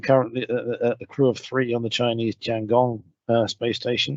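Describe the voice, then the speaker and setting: The voice has a British accent and a monotone, flat intonation, recorded with a dry, close sound and no echo. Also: man. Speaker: radiation protection scientist. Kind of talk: webinar lecture. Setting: video call from home. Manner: halting, many fillers. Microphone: home broadband connection.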